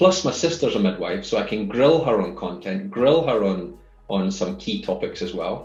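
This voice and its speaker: A man with a Scottish accent speaks at a moderate pace and medium pitch, his voice making very wide pitch swings, with audible room echo. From Scotland. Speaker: fatherhood course founder. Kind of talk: podcast interview. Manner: many fillers and repeated words.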